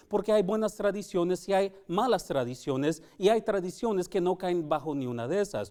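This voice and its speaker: A man talks at a moderate pace. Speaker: Sabbath School teacher. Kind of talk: Bible study lesson. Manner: halting.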